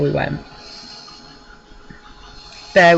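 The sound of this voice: A croaky female voice with vocal fry at a moderate pace.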